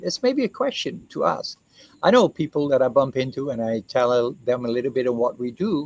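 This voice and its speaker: A man talks at a moderate pace, his voice recorded dry and close with no echo. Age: 60s. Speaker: co-founder presenting his reforestation project. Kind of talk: explainer talk to camera.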